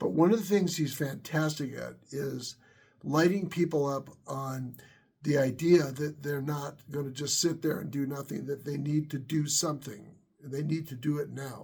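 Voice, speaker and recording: A somewhat breathy man's voice, fairly high in pitch, at a moderate pace with fairly even intonation and big swings in loudness. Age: 60s. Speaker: YouTuber, worship leader and tech worker. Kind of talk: casual vlog monologue. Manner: halting, many fillers and repetitions.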